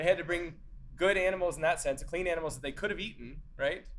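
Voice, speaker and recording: A man's high-pitched voice at a fairly quick pace, with ordinary pitch variation and audible room echo. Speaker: church singing teacher. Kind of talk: lecture. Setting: classroom with in-person and zoom attendees. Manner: casual, many filler words.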